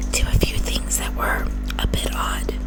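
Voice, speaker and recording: A woman whispers while music plays in the background. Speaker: ASMR true crime YouTuber. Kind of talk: ASMR true crime narration. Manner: whispered.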